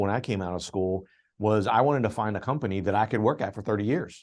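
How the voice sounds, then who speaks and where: Against a quiet background, a man with an American accent talks very fast in a fairly low voice with ordinary pitch variation. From blue-collar steel town, US. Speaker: business radio host. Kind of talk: podcast interview.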